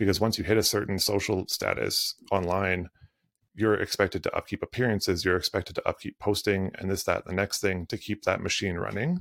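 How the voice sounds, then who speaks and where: A man's unremarkable speaking voice, fairly low in pitch, with fairly even intonation and a fairly quick pace, on a very clean recording with a silent background. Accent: Canadian. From Canadian prairies. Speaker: creative performance coach and photographer. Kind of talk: casual conversational podcast interview.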